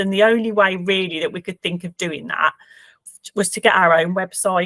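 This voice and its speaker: Recorded very cleanly against a silent background, with a dry, close sound and no echo, a woman with a Birmingham accent speaks at a moderate pace and medium pitch, her intonation fairly even and her loudness swinging widely. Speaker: charity worker. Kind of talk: client testimonial interview. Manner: hesitant, many fillers.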